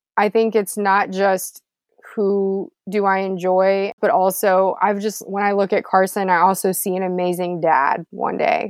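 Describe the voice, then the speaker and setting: In an unremarkable speaking voice, a woman with an American accent speaks at a fairly slow pace, her medium pitch carrying fairly even intonation. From Texas, Houston. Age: 30s. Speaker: former TV reporter. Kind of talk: casual interview chat.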